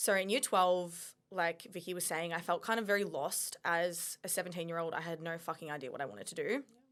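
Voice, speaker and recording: A woman with an Australian accent at fairly low pitch, ordinary pitch variation and a fairly quick pace, in a very clean recording with a silent background. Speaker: mindset coach. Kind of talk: casual chat.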